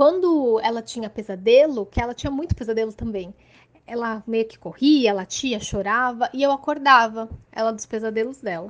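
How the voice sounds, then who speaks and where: A plain, everyday voice from a woman, fairly high in pitch with ordinary pitch variation, moderate in pace, with big swings in loudness. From Santos, São Paulo coast, Brazil. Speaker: podcast listener. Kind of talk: recorded personal testimony.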